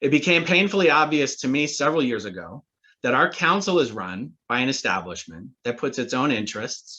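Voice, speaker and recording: In a quiet background, a man talks at a fairly quick pace with very wide pitch swings. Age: 40s. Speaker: city council candidate. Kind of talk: candidate forum speech.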